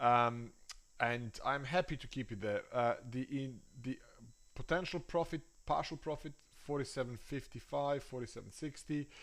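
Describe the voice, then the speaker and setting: A man with ordinary pitch variation on a very clean recording against a silent background. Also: medium pitch for a man, moderate pace. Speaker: trader and market analyst. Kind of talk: live trading analysis stream. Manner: hesitant, many fillers.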